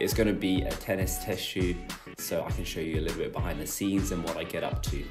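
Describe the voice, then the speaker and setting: Music plays in the background as a man talks at a fairly quick pace. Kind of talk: casual vlog chat. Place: kitchen. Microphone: phone near.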